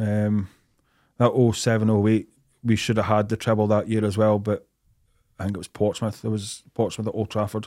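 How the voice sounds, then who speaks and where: There are long, frequent pauses as a man speaks in a monotone, flat intonation. His pitch is fairly low, and the recording is very clean with a silent background. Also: moderate pace. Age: 30s. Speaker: amateur footballer and football fan. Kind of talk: casual chat.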